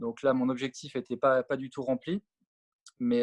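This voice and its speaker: The sound is dry and close, with no echo. A man speaks at medium pitch and a moderate pace, his intonation fairly even. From France, Savoie (Alps). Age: 40s. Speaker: former pro tennis player and coach. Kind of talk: interview. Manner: halting, many fillers.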